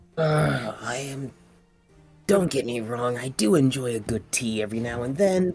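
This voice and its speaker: A man uses a put-on character voice at medium pitch and a moderate pace. Faint music plays in the background. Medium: actual play. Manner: fussy, exasperated.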